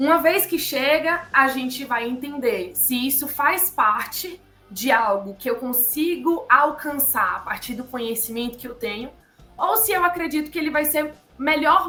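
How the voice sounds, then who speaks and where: Over music in the background, a woman with a Bahian accent uses a raised, projected voice at a high pitch, with lively intonation and a fairly slow pace. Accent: Bahian Brazilian Portuguese. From Bahia, Brazil. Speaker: psychologist. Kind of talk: interview answer.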